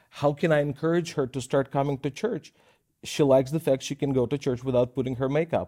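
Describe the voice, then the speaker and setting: In a Russian accent, a man with a fairly high pitch and a dark, mellow tone talks very fast with fairly even intonation, in a very clean recording with a silent background and a dry, close sound with no echo. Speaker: minister. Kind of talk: Bible teaching show. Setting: studio.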